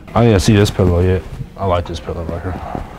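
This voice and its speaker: A man talks at a fairly quick pace, with noticeable background noise behind him. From Cleveland, Ohio; Ohio. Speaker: YouTuber vlogger; vlogger. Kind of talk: casual vlog. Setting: in stores, out and about. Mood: loose, joking, profane. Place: shop. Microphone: camera far.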